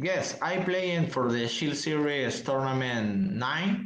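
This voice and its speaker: Delivery is very slow, with hardly any pauses and very even loudness. The intonation is lively, in a Spanish accent. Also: man. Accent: non-native, Spanish. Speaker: tournament champion, card game player. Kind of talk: casual interview. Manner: halting, hesitant broken English.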